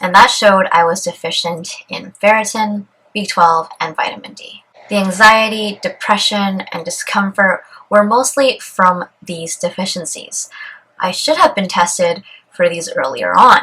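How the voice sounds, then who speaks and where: A woman talks fairly slowly in a bright, sharp tone, her medium pitch showing ordinary variation while her loudness swings widely. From Canada. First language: Cantonese. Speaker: vlogger. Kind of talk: vlog.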